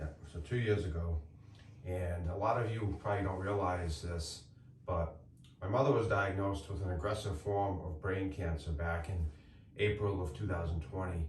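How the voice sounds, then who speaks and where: Quiet and very deep in pitch, a man speaks at a moderate pace with ordinary pitch variation, amid noticeable background noise and audible room echo. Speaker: homestead YouTuber and builder. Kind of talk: casual reflective chat. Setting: inside a treehouse in the woods. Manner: loud. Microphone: echoey room.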